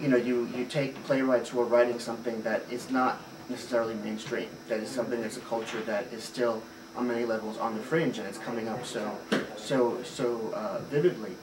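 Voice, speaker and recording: A man at medium pitch and a fairly quick pace, amid noticeable background noise and audible room echo. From Puerto Rico. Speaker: theater director. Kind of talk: interview. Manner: hesitant, many fillers.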